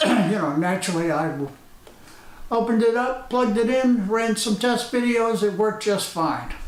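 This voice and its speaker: Over noticeable background noise and audible room echo, a man talks fairly slowly with ordinary pitch variation. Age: 70s. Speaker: retired hobbyist vlogger. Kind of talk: casual vlog commentary. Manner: hesitant, many filler uhs.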